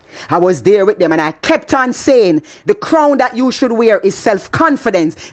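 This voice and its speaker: Over noticeable background noise, a woman with a Jamaican accent speaks at a moderate pace in an animated tone, her fairly high pitch making very wide swings. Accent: Jamaican, with patois. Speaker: motivational speaker. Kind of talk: motivational talk.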